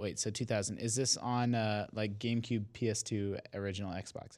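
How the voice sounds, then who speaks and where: A man with a normal speaking voice talks at a moderate pace and medium pitch, his intonation fairly even. The recording is very clean and the background silent. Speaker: video game journalist. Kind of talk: casual chat.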